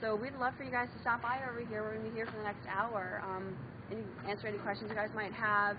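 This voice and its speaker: A woman speaks at a fairly quick pace in a fairly high pitch, her intonation fairly even, with noticeable background noise behind her. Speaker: nonprofit campaign organizer. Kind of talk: pitch to a public meeting. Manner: soft-spoken.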